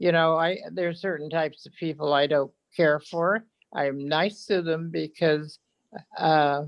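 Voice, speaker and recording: A woman speaks with an American accent at a very deep, low pitch. Her pace is fairly slow and her intonation fairly even. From northern California, Blue Lake. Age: 80s+. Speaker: public commenter. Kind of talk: public comment at a meeting. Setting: video call. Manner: halting.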